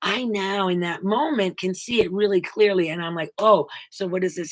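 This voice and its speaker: A woman talks at a moderate pace in a normal speaking voice. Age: 60s. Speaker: spiritual self-help video host. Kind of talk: inspirational monologue.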